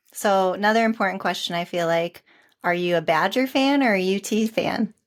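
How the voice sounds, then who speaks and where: In a Wisconsin accent, a woman of medium pitch talks at a fairly quick pace with ordinary pitch variation and very even loudness, on a very clean recording with a silent background. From Wisconsin summers, family from Wisconsin. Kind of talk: podcast interview.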